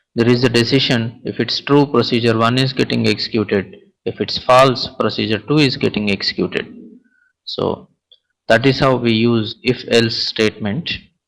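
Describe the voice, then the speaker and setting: This man speaks at a moderate pace, at a medium pitch, with fairly even intonation. It is an ordinary speaking voice. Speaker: programming instructor. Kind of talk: lecture.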